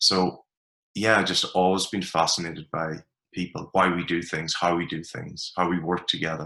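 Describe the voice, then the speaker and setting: Very deep and low, this man's voice carries an Ulster accent and a bright, sharp tone. His intonation is monotone and flat at a moderate pace, over a quiet background. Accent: Irish (Ulster border). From Ireland, border region. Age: 40s. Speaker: performance coach. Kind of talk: podcast interview.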